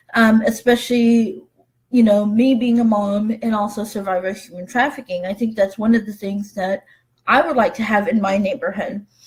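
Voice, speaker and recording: The voice is somewhat breathy, with fairly even intonation. The pace is moderate. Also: woman. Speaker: human trafficking survivor and advocate. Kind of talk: live webinar talk. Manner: halting, many fillers.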